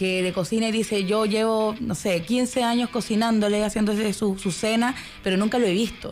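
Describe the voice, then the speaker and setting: This woman has a plain, everyday voice. She talks at a moderate pace with fairly even intonation. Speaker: film festival producer. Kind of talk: radio interview.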